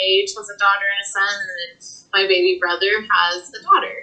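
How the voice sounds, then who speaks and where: Noticeable background noise sits behind speech delivered with an American accent. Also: woman. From Texas Panhandle (Amarillo/Canyon). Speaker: guest with spinal cord injury. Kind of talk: podcast interview.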